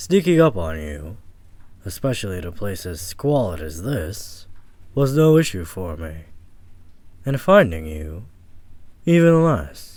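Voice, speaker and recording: Using a put-on character voice, a man speaks with a very deep, low pitch. His pace is fairly slow, with long, frequent pauses. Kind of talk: ASMR audio roleplay. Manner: calm, measured monologue.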